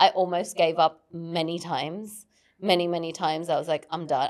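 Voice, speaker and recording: A fairly low-pitched woman with a British accent at a fairly quick pace. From England. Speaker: optometrist. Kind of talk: interview. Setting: podcast.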